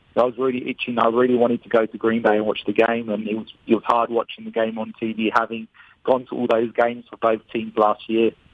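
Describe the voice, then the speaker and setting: With an Australian accent, a man rattles along at a very fast pace, his medium-pitched delivery monotone and flat. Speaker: sports fan. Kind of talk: interview. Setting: in Wisconsin.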